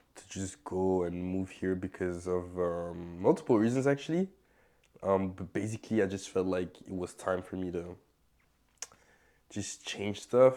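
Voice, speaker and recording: A man with a very deep, low pitch and a dark, mellow tone speaks at a moderate pace with ordinary pitch variation, big swings in loudness and long, frequent pauses. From Belgium. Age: 20s. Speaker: DJ. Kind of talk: casual chat. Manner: hesitant, many fillers.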